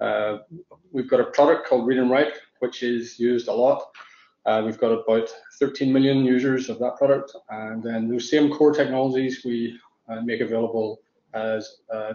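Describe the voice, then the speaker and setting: The speech comes with an Irish accent at a moderate pace. Its intonation is monotone and flat. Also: man, medium pitch for a man. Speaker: tech company founder, panelist. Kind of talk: panel discussion.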